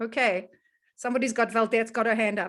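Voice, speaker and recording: A woman with a South African accent, her raised, projected voice bright and sharp in tone, against a quiet background. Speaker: wellness educator and host. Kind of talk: casual online presentation. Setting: video call. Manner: animated.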